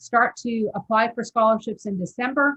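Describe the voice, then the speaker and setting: The voice is somewhat breathy and belongs to a woman. She keeps a fairly slow pace. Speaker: scholarship program trainer. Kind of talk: training presentation over video call. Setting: video call.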